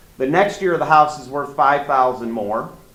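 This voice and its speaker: Loud and lively in intonation, a man with a fairly high pitch talks over noticeable background noise with audible room echo. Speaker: mortgage loan officer. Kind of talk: seminar talk.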